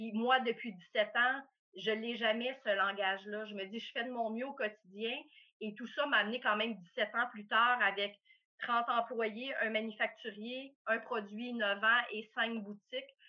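A woman talks at a fairly slow pace with a fairly high pitch and a monotone, flat intonation. Her loudness swings widely. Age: 50s. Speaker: coffee company owner. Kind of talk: interview. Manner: hesitant, many fillers.

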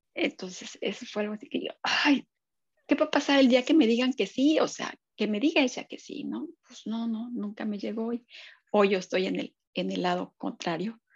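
A woman with a fairly high pitch and vocal fry talks at a moderate pace with lively intonation. Her loudness swings widely, and the sound is dry and close with no echo. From Mexico City. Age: 50s. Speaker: social psychologist and business owner. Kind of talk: casual interview chat.

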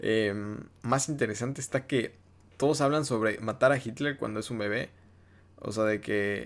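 A man's plain, everyday voice at medium pitch and moderate pace, fairly even in intonation, on a very clean recording with a silent background. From Mexico, Yucatán. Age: 20s. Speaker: TikToker and podcast host. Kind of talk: casual solo monologue. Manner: relaxed, low-key.

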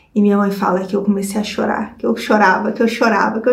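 Room echo can be heard around this recording. The woman speaking sounds animated. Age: 30s. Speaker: video creator. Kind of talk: personal storytelling vlog. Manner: animated, laughing often.

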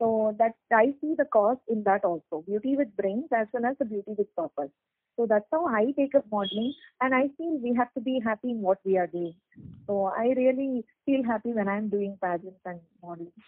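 Speaking with a Tamil Nadu accent, a woman uses a fairly high pitch and lively intonation. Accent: Tamil Indian English. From Chennai, Tamil Nadu, India. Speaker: doctor and beauty pageant model. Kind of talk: interview. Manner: hesitant, many fillers.

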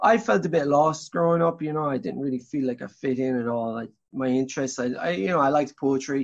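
With a southern Irish accent, a man talks very fast at a fairly high pitch, hardly pausing at all, his pitch varying in an ordinary way. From Ireland, Tipperary. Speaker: singer-songwriter. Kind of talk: interview. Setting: remote call.

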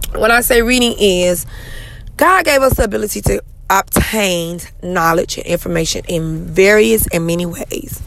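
Over noticeable background noise, a woman speaks in an animated tone at a moderate pace. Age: 30s. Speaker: podcast host. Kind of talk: motivational monologue.

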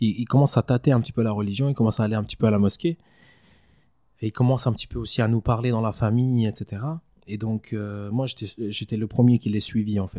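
Very fast speech with long, frequent pauses, fairly even intonation and a dark, mellow tone, in a dry, close sound with no echo on a very clean recording with a silent background. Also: man, medium pitch for a man. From Switzerland, Valais; Kosovar family. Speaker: mosque founder and president. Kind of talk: casual interview.

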